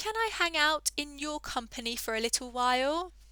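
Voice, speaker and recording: A woman uses a put-on character voice with a high pitch. She speaks at a moderate pace. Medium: read story.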